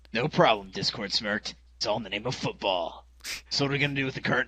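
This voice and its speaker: In a put-on character voice, the speaker talks at a very fast pace. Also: man, medium pitch for a man. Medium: read story. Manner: smirking, smug.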